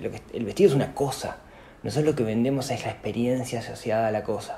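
The voice races along at a very fast pace with ordinary pitch variation. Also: man. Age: 40s. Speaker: personal finance podcaster and entrepreneur. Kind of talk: interview conversation.

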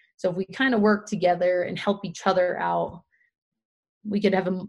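At a moderate pace, a woman with an American accent speaks in a medium pitch and monotone, flat intonation. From Pennsylvania. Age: 30s. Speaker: trail runner and running community founder. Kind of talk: casual interview.

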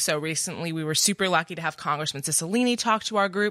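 At a very fast pace, a woman speaks in a bright, sharp tone at a medium pitch with ordinary pitch variation, in a very clean recording with a silent background. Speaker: college club president. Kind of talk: roundtable discussion. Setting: studio.

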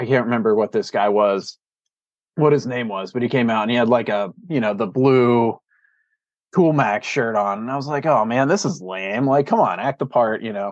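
An unremarkable speaking voice with an American accent, ordinary pitch variation and a moderate pace over a quiet background. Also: man, medium pitch for a man. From Pittsburgh, Pennsylvania. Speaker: stream restoration scientist. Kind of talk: casual interview.

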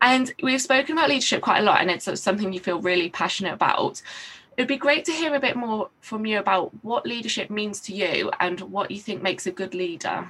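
A woman speaks in a normal speaking voice with a fairly high pitch. Her intonation is lively and her pace fairly quick. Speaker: podcast host and social worker. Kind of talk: casual interview.

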